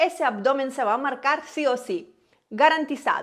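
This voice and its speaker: This woman has a high pitch. She speaks at a fairly slow pace. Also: quiet background. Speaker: fitness coach. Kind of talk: tutorial intro to camera. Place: home room. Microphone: lapel.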